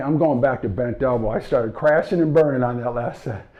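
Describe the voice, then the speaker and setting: This man's voice sits fairly high in pitch, with a dark, mellow tone and ordinary pitch variation. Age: 60s. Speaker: strength coach. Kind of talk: follow-along workout instruction.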